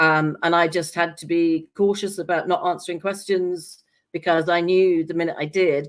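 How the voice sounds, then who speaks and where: A woman with an English accent, fairly low in pitch, in monotone, flat intonation at a moderate pace, in a very clean recording with a silent background. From England. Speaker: scientist and talk show guest. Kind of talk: casual chat.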